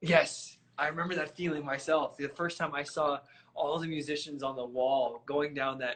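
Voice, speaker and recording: A fairly high-pitched man's voice with a Midwestern US accent, monotone, flat intonation and a moderate pace. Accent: US Midwest. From Michigan. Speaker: trumpet player and interviewer. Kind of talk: casual interview. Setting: live stream.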